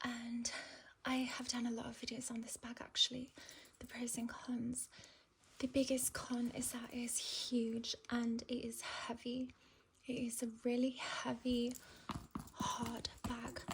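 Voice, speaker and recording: Soft-spoken and high-pitched, a woman talks at a fairly slow pace in a flat monotone, leaving long, frequent pauses. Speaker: ASMR content creator. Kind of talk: ASMR handbag review, talking to the viewer. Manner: soft-spoken, slow.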